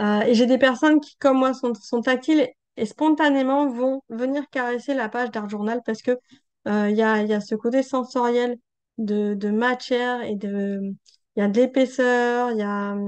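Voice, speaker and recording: A woman speaks in a high voice at a moderate pace. Her intonation stays fairly even. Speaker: art journaling teacher and creator. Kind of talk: tutorial. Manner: hesitant, many fillers.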